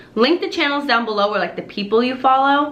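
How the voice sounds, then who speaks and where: A woman's high voice, lively in intonation and animated in tone, with audible room echo and noticeable background noise. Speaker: lifestyle vlogger. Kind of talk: casual vlog talk to camera.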